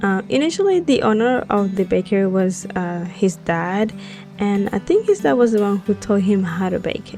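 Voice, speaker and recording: Music plays in the background as a woman speaks with a non-native accent. Her pitch is medium and her pace moderate. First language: not English. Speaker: Sims builder, YouTuber. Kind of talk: casual voiceover for a speed build. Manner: hesitant, many fillers.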